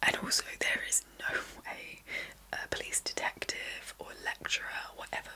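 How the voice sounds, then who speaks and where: Noticeable noise fills the background as a woman whispers at a moderate speed. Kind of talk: book review talk to camera. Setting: ASMR recording. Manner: whispered, soft-spoken.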